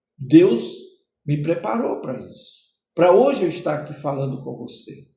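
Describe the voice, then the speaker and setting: Dark and mellow in tone, a man's voice swings very widely in pitch amid audible room echo. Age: 60s. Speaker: pastor. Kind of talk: sermon-style podcast teaching.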